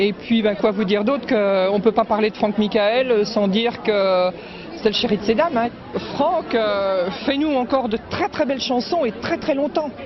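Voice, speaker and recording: A woman speaking at a fairly slow pace with very even loudness, crowd noise behind her. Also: fairly high pitch for a woman, ordinary pitch variation. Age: 60s. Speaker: fan. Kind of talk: vox pop interview.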